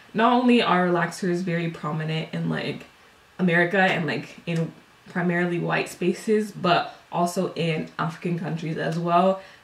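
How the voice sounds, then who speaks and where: A woman's fairly low voice with fairly even intonation and a moderate pace, with noticeable background noise. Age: 20s. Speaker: beauty YouTuber. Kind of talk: casual vlog talk.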